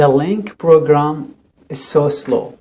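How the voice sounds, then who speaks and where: A man with a Syrian accent speaks very slowly at a fairly high pitch. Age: 30s. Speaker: refugee settlement counselor. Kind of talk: interview. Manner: halting, with repetitions.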